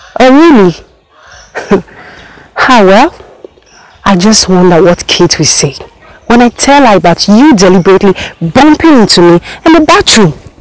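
A woman speaks with very wide pitch swings. The sound is dry, with no echo. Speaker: actress in a drama. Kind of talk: acted phone conversation. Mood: teasing, mildly threatening. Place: open country.

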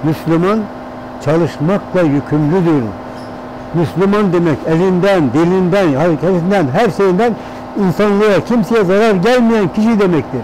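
A man talks at a fairly slow pace with a high pitch and ordinary pitch variation. His loudness stays very even, the sound is dry with no echo, and there is light background noise. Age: 80s+. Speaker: plastic goods workshop owner. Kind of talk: documentary interview answer. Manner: casual, conversational. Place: workshop. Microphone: lapel.

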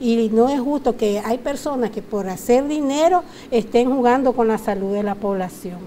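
A woman's unremarkable speaking voice, fairly high in pitch, with ordinary pitch variation, a moderate pace and light background noise. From Nicaragua. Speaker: consumer rights advisor. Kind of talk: TV interview. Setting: TV studio. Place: studio. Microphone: lapel.

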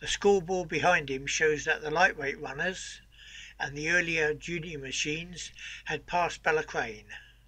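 Bright and sharp in tone, a man's fairly high voice moves at a moderate pace with fairly even intonation. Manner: measured, formal, dry and wry, with quips like 'I wonder whose boots they were'; steady, informative, newsreel-like delivery of names and facts.

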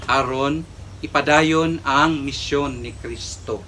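A man speaks at a very slow pace with light background noise behind him. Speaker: priest. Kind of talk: homily and Mass presiding, preaching in a solemn, pastoral tone. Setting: church. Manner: earnest, measured, formal preaching cadence. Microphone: camera far.

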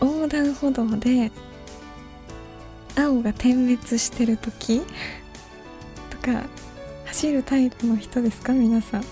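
A woman with a high pitch and fairly even intonation speaks at a very slow pace over clear background music, in a dry sound with no echo. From Kansai, Japan. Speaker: voice actress and idol. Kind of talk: late-night radio talk. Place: studio. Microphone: studio mic.

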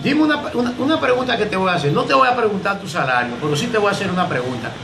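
The speech rushes along at a very fast pace with lively intonation. Noticeable background noise runs underneath. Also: man. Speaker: local reporter. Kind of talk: interviewer questions. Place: home room.

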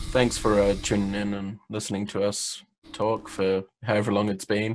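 On a very clean recording with a silent background, a man with a New Zealand accent speaks at a fairly low pitch. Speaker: vaping podcast co-host. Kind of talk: casual chat.

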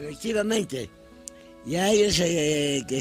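Faint music sits behind a man whose lively intonation comes through dry, with no echo. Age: 80s+. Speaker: retired mine work supervisor. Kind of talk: interview answer. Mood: pleading, emotional. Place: garden.

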